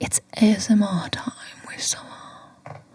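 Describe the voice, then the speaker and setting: A put-on character voice speaks softly with a playful tone. The pace is fairly slow. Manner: ASMR, soft, playful.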